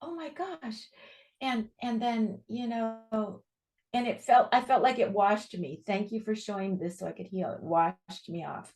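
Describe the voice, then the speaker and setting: A woman with an American accent speaks somewhat breathily at a fairly high pitch and a fairly slow pace, with lively intonation and big swings in loudness. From US West Coast (San Diego). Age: 70s. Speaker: author and pilgrim. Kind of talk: interview, personal testimony.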